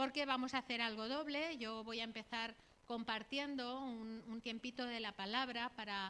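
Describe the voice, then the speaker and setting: The woman's tone is bright and sharp, her pitch fairly high. She keeps her intonation fairly even. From Catalonia, Spain (Barcelona area). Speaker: missionary. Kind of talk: sermon / missionary talk. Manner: conversational, frequent tag questions.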